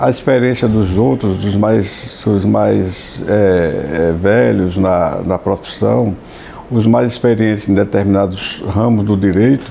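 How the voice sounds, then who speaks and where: Over noticeable background noise, a man with a fairly low pitch speaks at a very slow pace with very even loudness and ordinary pitch variation. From Sergipe, Brazil. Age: 70s. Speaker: judge. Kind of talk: interview. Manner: halting, many repetitions and fillers.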